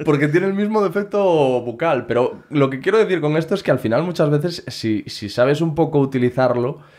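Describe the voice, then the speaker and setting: Against a quiet background, a man talks at a fairly quick pace with lively intonation and hardly any pauses. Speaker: podcast host. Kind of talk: podcast interview conversation. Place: studio. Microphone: studio mic.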